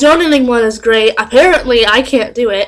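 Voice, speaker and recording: Loud and animated, a woman speaks at a high pitch with ordinary pitch variation. Noticeable background noise can be heard. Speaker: vlogger. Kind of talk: casual vlog storytelling.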